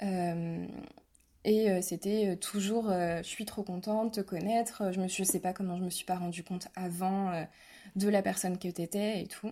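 In a very clean recording with a silent background, a woman speaks fairly slowly with a dark, mellow tone and monotone, flat intonation. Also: medium pitch for a woman. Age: 20s. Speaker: abuse survivor. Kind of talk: testimony.

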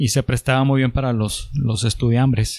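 This man's voice sits at a medium pitch. He talks at a moderate pace with ordinary pitch variation. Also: dry, close sound with no echo. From Mexico, Chihuahua. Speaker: entrepreneur. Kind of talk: casual chat.

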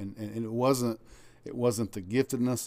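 This man speaks with a Southern US accent at a medium pitch, his tone dark and mellow, his intonation fairly even. The recording is very clean with a silent background. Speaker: pastor. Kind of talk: preaching-style casual chat. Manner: loud.

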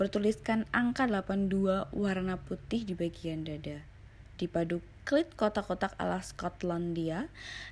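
This is a natural reading voice. It shows ordinary pitch variation.

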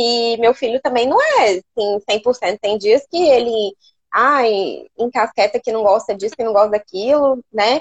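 Her pitch is high, with ordinary variation. The woman talks at a moderate pace. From Rondônia, Brazil. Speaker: nutritionist. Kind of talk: live stream interview.

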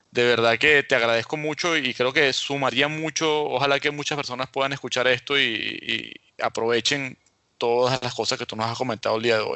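With a normal speaking voice, a man talks at a moderate pace with fairly even intonation. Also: medium pitch for a man. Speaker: podcast host. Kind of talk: casual interview.

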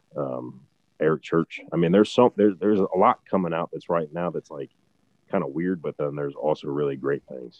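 With a Midwestern American accent, this man speaks at a very deep, low pitch. His intonation is fairly even. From Ohio, Barberton. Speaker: country singer-songwriter. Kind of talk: interview conversation.

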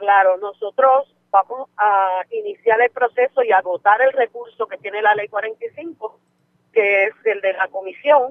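A woman with an unremarkable speaking voice and a fairly high pitch. She talks at a fairly slow pace with ordinary pitch variation. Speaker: union leader. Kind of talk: live interview.

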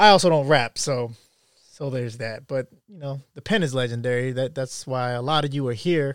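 On a very clean recording with a silent background, a man uses an ordinary speaking voice at a moderate pace, with ordinary pitch variation and big swings in loudness. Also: medium pitch for a man. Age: 30s. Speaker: podcast host. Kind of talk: casual monologue.

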